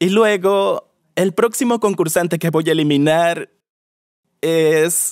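The voice moves at a very slow pace with fairly even intonation over a quiet background. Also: man. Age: 20s. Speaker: dating show contestant. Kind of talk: casual chat. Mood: playful, amused. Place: studio. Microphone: lapel.

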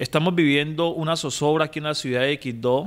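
This is a man with a fairly high pitch. His pitch variation is ordinary. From Quibdó, Chocó, Colombia; Chocó, Colombia. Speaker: municipal ombudsman. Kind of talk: news interview. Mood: serious, concerned. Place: office. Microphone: handheld.

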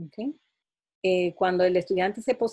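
A woman's voice with fairly even intonation. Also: quiet background. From Dominican Republic. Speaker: mathematics education professor. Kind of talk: interview answers. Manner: halting, many fillers. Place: home room. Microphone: webcam.

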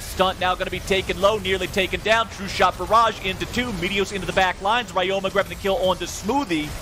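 A man with a high pitch talks at a very fast pace in a raised, projected voice. Background noise is noticeable. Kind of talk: esports commentary. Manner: fast, excitable play-by-play; energetic, urgent.

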